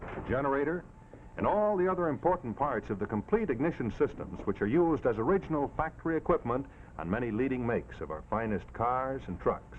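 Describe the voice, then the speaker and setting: A man at a medium pitch, very wide pitch swings, fairly quick pace. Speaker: pitchman. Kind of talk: live TV commercial read.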